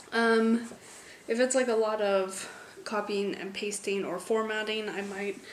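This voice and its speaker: With audible room echo and noticeable background noise, a woman with an American accent speaks fairly slowly in a fairly high, monotone, flat voice. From United States. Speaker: book vlogger. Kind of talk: casual vlog.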